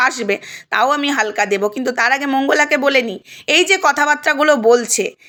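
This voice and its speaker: An animated tone from a woman, her pitch varying in an ordinary way. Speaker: video blogger. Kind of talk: heated rant to viewers.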